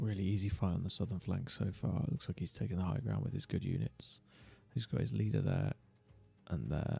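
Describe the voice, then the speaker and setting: Over background music, a man with a British accent speaks at a fairly quick pace in a very deep, low voice. His pitch swings very widely while his loudness stays very even. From Britain. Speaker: gaming streamer. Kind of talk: live gameplay commentary. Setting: livestream.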